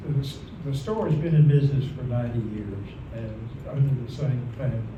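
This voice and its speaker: Over noticeable background noise, a man with an Ozark accent talks at a moderate pace. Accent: Ozark Southern American. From Baxter County, Arkansas. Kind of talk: local history society talk. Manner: rambling, conversational.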